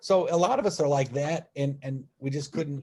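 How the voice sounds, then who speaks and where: Somewhat breathy, a man's voice sits at a fairly high pitch with a dark, mellow tone. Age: 60s. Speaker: religious movement member. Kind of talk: personal testimony in online talk. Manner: halting, many repetitions and fillers.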